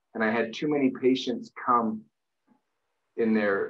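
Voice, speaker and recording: A man at a moderate pace with fairly even intonation, over a quiet background. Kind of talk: interview answer. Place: home room. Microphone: webcam.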